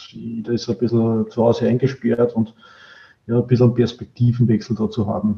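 A man's somewhat breathy, dark, mellow voice at a medium pitch, with monotone, flat intonation and a moderate pace. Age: 40s. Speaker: business process expert, coaching client. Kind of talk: interview, casual chat. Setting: video call.

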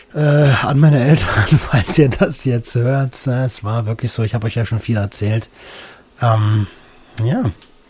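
A man talks at a moderate pace and medium pitch, with ordinary pitch variation. Noticeable background noise is present. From Berlin, Germany. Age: 30s. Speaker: podcast host. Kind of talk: personal monologue. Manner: casual, with many fillers.

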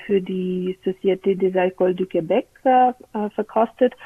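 The speaker is a woman with a medium pitch. She talks at a very slow pace with ordinary pitch variation. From Bulgaria. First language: Bulgarian (speaking German). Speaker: wine competition press officer. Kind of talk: interview.

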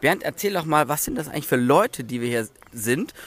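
Speaking at a very fast pace with lively intonation, a man with a fairly high pitch is heard in a very clean recording with a silent background. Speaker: hobby brewer podcast co-host. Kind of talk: casual chat; on-location report. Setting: outdoors in a garden.

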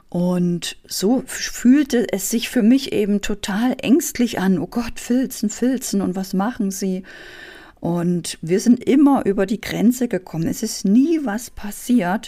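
A woman speaks very slowly in a fairly high, somewhat breathy voice with a dark, mellow tone and ordinary pitch variation. The recording is very clean, with a silent background. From East Germany. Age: 40s. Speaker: business coach and podcast host. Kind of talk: motivational monologue.

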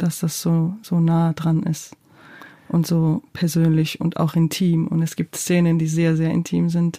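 At a very slow pace, a woman speaks in a Georgian accent with a fairly low pitch and monotone, flat intonation. Her tone is dark and mellow, and somewhat breathy. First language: Georgian (speaking German). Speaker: playwright and theatre director. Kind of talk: interview. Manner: hesitant, many fillers.

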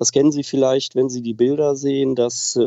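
A man with medium pitch at a moderate pace. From Germany, Oberbergisches Land near Cologne. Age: 50s. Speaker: aviation association president. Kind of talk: interview. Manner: formal.

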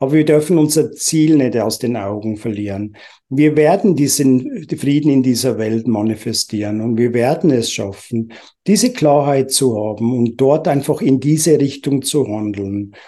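Against a quiet background, a man with a medium pitch and a dark, mellow tone talks at a moderate pace with ordinary pitch variation. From Uganda. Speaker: entrepreneur. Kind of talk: interview. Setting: video call.

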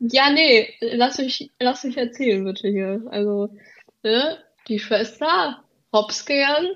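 The delivery is very slow with ordinary pitch variation. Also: woman, high pitch for a woman. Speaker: student teacher. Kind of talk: casual chat; reading aloud. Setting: remote recording.

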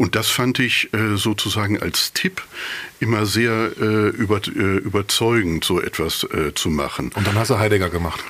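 Amid noticeable background noise, a man speaks at a moderate pace with a fairly low pitch, ordinary pitch variation, and very even loudness. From East Westphalia, Germany (Bünde). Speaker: philosopher of religion. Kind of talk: interview conversation. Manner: halting, many fillers.

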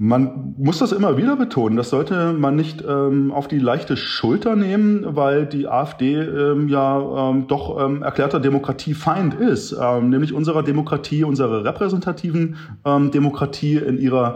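Fairly high male voice at a fairly slow pace, very even in loudness, with lively intonation, hardly any pauses and noticeable background noise. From eastern Germany, Wittenberg, Saxony-Anhalt. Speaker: political scientist. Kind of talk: interview. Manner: frequent hesitations (äh, ähm).

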